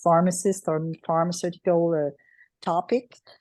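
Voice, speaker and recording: With a Quebec French accent, a woman talks at a moderate pace in a fairly low voice with a dark, mellow tone, recorded dry and close with no echo against a quiet background. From Quebec, Canada. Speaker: transplant clinical pharmacist. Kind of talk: self-introduction in online meeting. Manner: halting.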